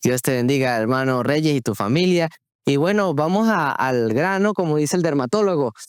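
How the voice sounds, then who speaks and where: A man talks in an Andean Venezuelan accent at a fairly high pitch and a moderate pace, with lively intonation. His loudness stays very even on a very clean recording with a silent background. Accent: marked Andean Venezuelan (Táchira). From Venezuela, Táchira. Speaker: podcast host. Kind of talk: religious podcast conversation. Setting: recording on location in Táchira.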